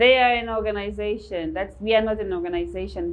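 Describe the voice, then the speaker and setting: A woman's voice with audible room echo. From Namibia. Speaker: English teacher and religious believer. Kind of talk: live interview, religious debate.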